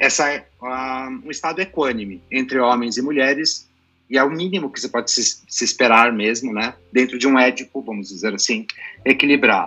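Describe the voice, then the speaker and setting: A man with a plain, everyday voice talks at a moderate pace, medium in pitch, with ordinary pitch variation. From Brazil, son of Lebanese father. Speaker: psychologist. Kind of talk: panel discussion.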